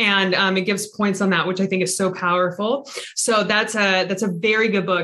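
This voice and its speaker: Delivered at a moderate pace, the voice has a bright, sharp tone and a Pacific Northwest accent. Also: woman. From Everett, Washington (Seattle area). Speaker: real estate investor. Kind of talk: interview.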